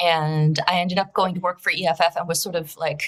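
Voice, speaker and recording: Woman with a Russian accent, fairly low pitch, fairly even intonation and a fairly quick pace. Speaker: cybersecurity director. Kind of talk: interview. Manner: frequent fillers and restarts.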